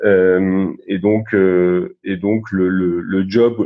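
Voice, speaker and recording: Delivered in a monotone, this man's speech has flat intonation. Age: 50s. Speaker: investment banker. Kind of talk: interview. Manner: hesitant, many fillers and repetitions.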